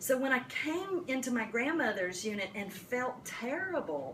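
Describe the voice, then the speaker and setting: A woman talks with a strong Appalachian accent and very wide pitch swings. Audible room echo and noticeable background noise surround her. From US South, Appalachian western North Carolina. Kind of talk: talk to caregivers. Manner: animated.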